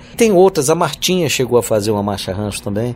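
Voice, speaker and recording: Over noticeable background noise, a man at medium pitch speaks with lively intonation. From Piauí, Brazil (Northeast). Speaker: singer-songwriter and university professor. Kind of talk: interview. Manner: halting, repeats words.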